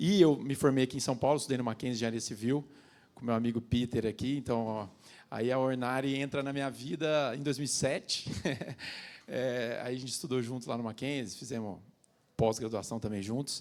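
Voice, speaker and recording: This man has a normal speaking voice at medium pitch. He talks at a fairly quick pace with ordinary pitch variation. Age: 30s. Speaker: construction company CEO. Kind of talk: panel talk. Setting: stage with audience.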